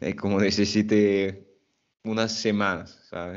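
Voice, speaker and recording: A man with a French accent speaks in a fairly low voice. His pace is fairly slow, and the background is quiet. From French-speaking country. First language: French (speaking Spanish). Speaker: Spanish teacher, YouTuber. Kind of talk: casual interview chat. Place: home room. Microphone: earbuds.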